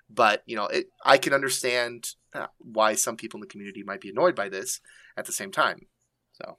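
A man with a bright, sharp tone talks at a fairly quick pace, his pitch varying in an ordinary way. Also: medium pitch for a man, dry, close sound with no echo. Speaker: gaming podcast co-host. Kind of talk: casual chat.

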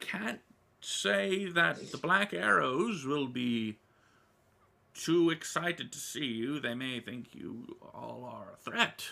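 Using a put-on character voice, a man speaks very slowly at a medium pitch with very wide pitch swings. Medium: actual play. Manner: warm, gently fussy, hesitant with little 'oh' and 'well' fillers.

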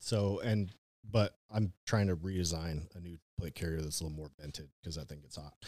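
With a dark, mellow tone and a very deep, low pitch, a man talks at a fairly quick pace, his loudness swinging widely and his pitch varying an ordinary amount. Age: 30s. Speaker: hunter and outdoor content creator. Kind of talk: casual chat. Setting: studio.

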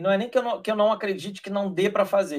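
A man speaks at a high pitch. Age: 40s. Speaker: rugby community member, sports commentator. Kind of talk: casual chat.

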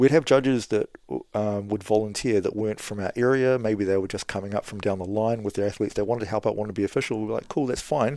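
Talking at a very fast pace, a man has a New Zealand accent. His tone is dark and mellow, and his intonation is fairly even. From New Zealand, Kapiti Coast near Wellington. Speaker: former kickboxer and gym owner. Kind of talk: casual interview.

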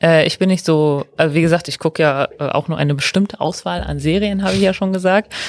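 This woman has an ordinary speaking voice, fairly low in pitch with ordinary pitch variation. She talks at a fairly quick pace, and the sound is dry and close with no echo. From Ruhr area, Germany (Mülheim). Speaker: trainee teacher. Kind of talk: casual interview.

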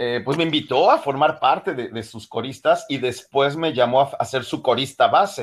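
Using a normal speaking voice, a man talks at a moderate pace with a fairly high pitch and ordinary pitch variation. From Mexico City area. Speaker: singer and actor. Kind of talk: interview.

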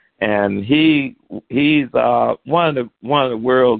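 A man with a Southern US accent speaks at a very slow pace. His pitch is medium, with ordinary pitch variation. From Alabama, US South. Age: 70s. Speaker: author and taekwondo instructor. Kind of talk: radio interview.

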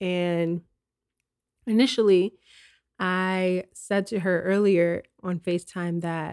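A woman's very slow, monotone delivery with flat intonation on a very clean recording with a silent background. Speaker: wellness podcast host. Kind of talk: solo reflective monologue. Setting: at home. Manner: warm, gentle.

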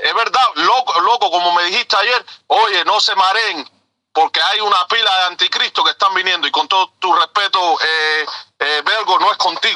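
A man's raised, projected voice, high-pitched with a bright, sharp tone, at a moderate pace with very even loudness in a dry, close sound with no echo. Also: ordinary pitch variation. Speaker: truck driver. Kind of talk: impassioned call-in. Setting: in a truck.

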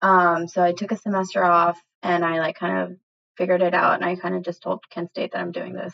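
With an American accent, a woman speaks in an ordinary speaking voice at a fairly low pitch, moving at a fairly quick pace with fairly even intonation. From Ohio, US. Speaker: clothing brand founder and artist. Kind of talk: casual interview. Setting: podcast interview.

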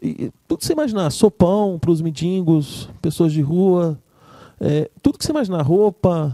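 A man with a dark, mellow tone speaks at a moderate pace with ordinary pitch variation, the sound dry and close with no echo. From Espírito Santo, Brazil. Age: 30s. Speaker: music producer and musician. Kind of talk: casual interview chat.

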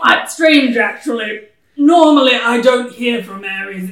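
A put-on character voice, gruff and rumbling, sits at a fairly high pitch. It moves at a moderate pace with slight echo. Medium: actual play. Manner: gruff, grumbling, distracted.

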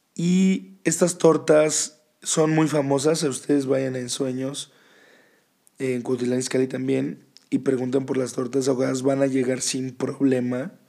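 A man speaks fairly slowly in a dark, mellow tone. His medium-pitched voice keeps fairly even intonation. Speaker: podcast host. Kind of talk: casual monologue podcast.

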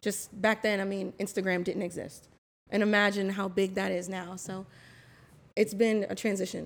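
Speaking with an American accent, a woman talks at a moderate pace in a medium pitch. Her intonation is monotone and flat, and the recording is very clean with a silent background. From Florida (West Palm Beach). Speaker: marketing and public relations professional. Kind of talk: casual chat.

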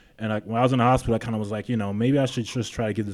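On a very clean recording with a silent background, a man with a New York accent and a fairly low pitch speaks in a monotone, flat way. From New York City (Queens). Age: 30s. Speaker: gym owner and personal trainer. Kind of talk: interview.

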